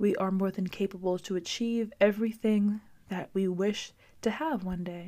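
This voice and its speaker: A woman's relaxed voice, dark and mellow in tone, with fairly even intonation. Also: medium pitch for a woman, moderate pace. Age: 20s. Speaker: podcast host. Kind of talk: casual solo monologue; reading affirmations. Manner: relaxed, filler-heavy.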